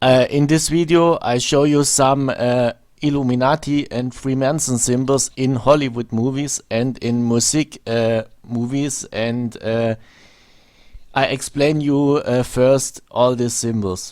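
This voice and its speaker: On a very clean recording with a silent background, a man with a German accent speaks at a medium pitch and a fairly slow pace with fairly even intonation. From Germany. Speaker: video blogger. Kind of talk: monologue commentary video. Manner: halting, many fillers.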